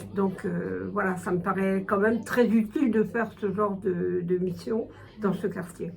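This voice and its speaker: Amid noticeable background noise and audible room echo, a woman speaks at a medium pitch and a fairly slow pace with fairly even intonation. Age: 70s. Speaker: retired volunteer tutor. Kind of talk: interview testimony. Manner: hesitant, many fillers.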